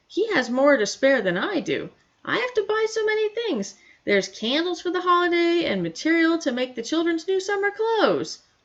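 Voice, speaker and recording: A squeaky, put-on character voice with very wide pitch swings at a moderate pace. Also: woman, extremely high pitch for a woman. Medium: read story. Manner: expressive Yiddish-flavored exclamations.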